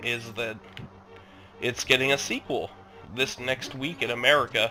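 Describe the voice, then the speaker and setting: A man's medium-pitched voice moves at a moderate pace while music plays in the background. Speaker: gaming video host. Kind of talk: let's play commentary. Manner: casual, rambling. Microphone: cheap headset microphone.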